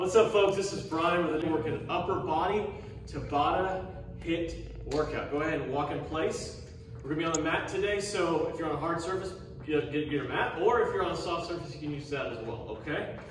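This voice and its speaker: Audible room echo and noticeable background noise accompany speech at a fairly quick pace with ordinary pitch variation. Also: man. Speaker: fitness instructor. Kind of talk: workout instruction. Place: gym. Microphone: camera far.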